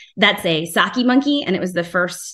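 Against a quiet background, a woman with an American accent speaks at a fairly low pitch in a bright, sharp tone. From New Jersey. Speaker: aquatic veterinarian; presenter. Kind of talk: lecture. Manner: animated. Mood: friendly, enthusiastic. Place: home room. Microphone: video call.

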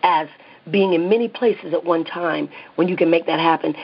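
A woman at a fairly low pitch with ordinary pitch variation, against noticeable background noise. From US South. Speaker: psychotherapist and clinic owner. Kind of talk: interview.

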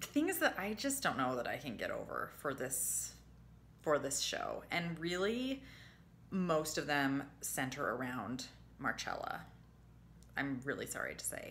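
A woman speaks fairly slowly, with long, frequent pauses. There is light background noise. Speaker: TV review vlogger. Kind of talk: casual vlog chat. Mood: disappointed, animated. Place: home room. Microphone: phone near.

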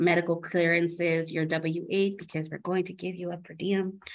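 Speaking at a moderate pace, a woman uses an unremarkable speaking voice with a fairly low pitch. The background is quiet. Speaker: humanitarian aid partnerships coordinator; panelist. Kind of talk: panel discussion. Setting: video call from Ukraine. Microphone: video call.

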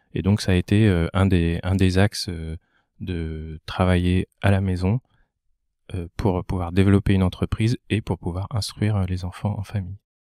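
A man with a very deep, low pitch and a dark, mellow tone speaks in a monotone, flat intonation. The recording is very clean with a silent background, and the sound is dry and close with no echo. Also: moderate pace. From Val-d'Oise, Paris region, France. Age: 40s. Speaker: entrepreneur. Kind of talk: casual interview.

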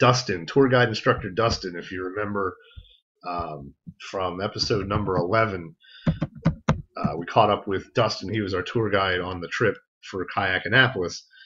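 Against noticeable background noise, a man with a fairly low pitch and a bright, sharp tone speaks at a moderate pace, with ordinary pitch variation and big swings in loudness. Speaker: podcast host. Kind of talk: casual podcast storytelling.

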